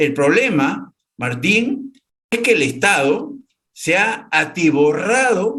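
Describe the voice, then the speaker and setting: A man with very wide pitch swings at a very slow pace. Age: 70s. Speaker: former regional governor and farmer. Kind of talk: interview.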